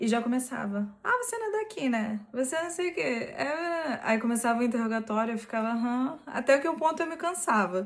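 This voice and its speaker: A woman in a strong Rio de Janeiro accent, high-pitched with lively intonation, at a fairly quick pace with hardly any pauses, over noticeable background noise. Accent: strong carioca (Rio). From Brazil, Rio de Janeiro state (Nova Iguaçu). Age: 20s. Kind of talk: personal testimony.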